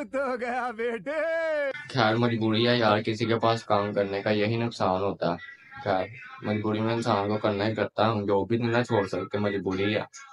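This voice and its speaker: A man with a fairly low pitch speaks in a monotone, flat intonation over noticeable background noise. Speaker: vlogger. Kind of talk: casual vlog chat. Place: home room. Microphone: phone near.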